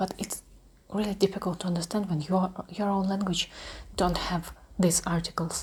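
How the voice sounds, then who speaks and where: The voice is somewhat breathy, with a Russian accent. Delivery comes at a moderate pace with fairly even intonation. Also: woman. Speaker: ASMR creator. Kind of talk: ASMR talk. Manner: soft-spoken; halting.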